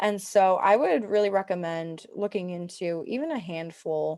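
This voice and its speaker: Pitched in the medium range, a woman talks with ordinary pitch variation in an ordinary speaking voice. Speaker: webinar presenter. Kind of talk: webinar presentation. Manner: many filler words.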